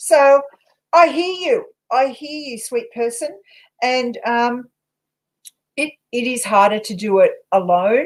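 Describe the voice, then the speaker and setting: A high-pitched woman with an Australian accent, very slow with long, frequent pauses, lively intonation and big swings in loudness. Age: 60s. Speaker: paranormal investigator and tarot reader. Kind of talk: casual chat with tarot readings.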